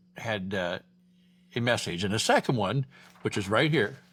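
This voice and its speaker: With an American accent and a bright, sharp tone, a man speaks at a moderate pace and medium pitch with ordinary pitch variation in a very clean recording with a silent background. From Iowa. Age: 60s. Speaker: vlogger, retired ex-cop. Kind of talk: casual vlog monologue.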